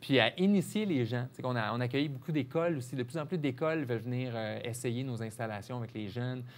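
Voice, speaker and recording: Talking at a fairly quick pace with hardly any pauses, a man with a Quebec accent keeps a medium pitch and ordinary pitch variation. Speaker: marketing director of an outdoor adventure company. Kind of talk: TV interview. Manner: casual, hesitant with fillers.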